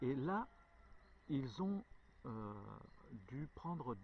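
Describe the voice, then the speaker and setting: A somewhat breathy man's voice at a medium pitch, with lively intonation. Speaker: hiking vlogger. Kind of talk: storytelling; casual vlog narration. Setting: outdoors. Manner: halting, stutters; many filler hesitations.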